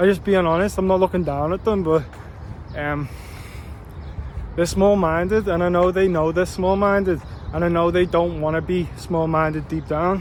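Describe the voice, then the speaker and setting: A man speaks in a high pitch at a moderate pace, with monotone, flat intonation. Long, frequent pauses break his speech over noticeable background noise. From Liverpool, England. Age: 20s. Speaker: YouTuber and real estate agent. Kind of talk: casual vlog monologue. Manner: casual and conversational, with fillers.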